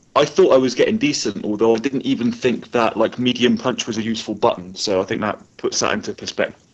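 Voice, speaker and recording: A man with a Bristol accent at medium pitch, a fairly quick pace, and ordinary pitch variation. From Bristol, England. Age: 20s. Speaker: competitive fighting game player. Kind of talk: casual chat. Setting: live online broadcast.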